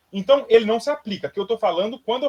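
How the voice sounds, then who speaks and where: Dry and close with no echo, a man speaks very fast with lively intonation at an extremely high pitch. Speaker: music teacher. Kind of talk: lecture.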